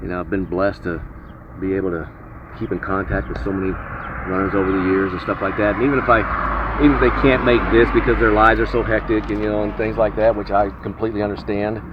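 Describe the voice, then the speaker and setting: There is audible room echo and noticeable background noise as a man speaks at a very fast pace. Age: 60s. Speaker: retired high school running coach. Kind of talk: interview. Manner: halting, many fillers.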